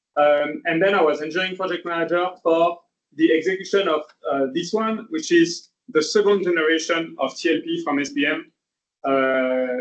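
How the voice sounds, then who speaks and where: A man's high voice moves at a moderate speed, its pitch varying in an ordinary way. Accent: French. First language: French. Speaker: engineer. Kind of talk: lecture. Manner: hesitant, many fillers.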